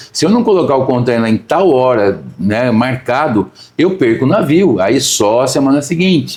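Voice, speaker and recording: With a plain, everyday voice, a man of medium pitch speaks at a moderate pace, his intonation lively and his loudness very even. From Brazil, São Paulo. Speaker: agribusiness company president. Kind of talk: interview conversation. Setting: on location, not studio.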